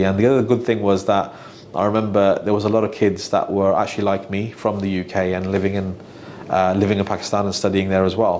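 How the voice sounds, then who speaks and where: Noticeable background noise sits under a man's fairly low voice. He talks at a fairly quick pace with monotone, flat intonation. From Birmingham, England (early years Manchester, Islamabad). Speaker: financial adviser, business owner. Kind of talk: podcast interview. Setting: office. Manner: hesitant, many fillers and repeats.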